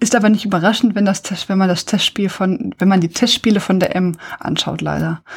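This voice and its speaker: Speaking at a fairly quick pace, a woman with a medium pitch uses fairly even intonation and some vocal fry. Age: 40s. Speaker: podcast host. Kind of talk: casual chat.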